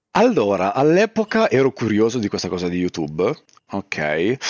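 A man talks at a fairly slow pace. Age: 30s. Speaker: YouTuber and streamer. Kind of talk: casual chat.

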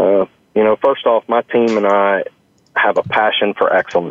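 A speaker with an American accent. The pace is moderate. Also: man. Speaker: restaurant chain executive. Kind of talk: interview. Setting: on location at a restaurant.

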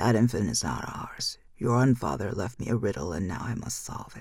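A soft-spoken man puts on a character voice at a moderate pace, his pitch medium. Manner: soft, sorrowful, dreamy.

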